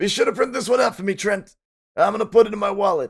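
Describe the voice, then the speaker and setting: Putting on a character voice, a man talks very fast in a raspy, high-pitched tone. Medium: game stream. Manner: friendly, fatherly.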